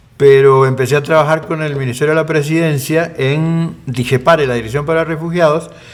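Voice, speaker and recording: A man with a fairly high pitch speaks at a fairly quick pace, with hardly any pauses. His intonation stays fairly even over noticeable background noise. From Costa Rica and Argentina. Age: 60s. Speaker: presidential candidate, lawyer. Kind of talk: interview.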